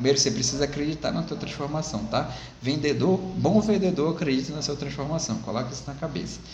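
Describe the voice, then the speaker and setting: Audible room echo and noticeable background noise surround a man's voice. He has a fairly high pitch and talks at a very fast pace. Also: ordinary pitch variation. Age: 30s. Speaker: sales coach. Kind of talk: tutorial.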